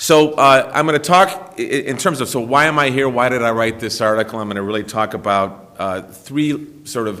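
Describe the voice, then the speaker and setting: Audible room echo surrounds a man's voice. His pitch varies in an ordinary way. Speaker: lawyer, former federal prosecutor. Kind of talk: conference talk. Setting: symposium room with audience. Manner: loud; halting, many fillers.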